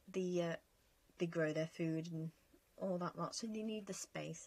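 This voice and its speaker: The speaker is a woman with a somewhat breathy voice. Her pitch variation is ordinary. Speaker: gaming youtuber. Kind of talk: casual chat over gameplay.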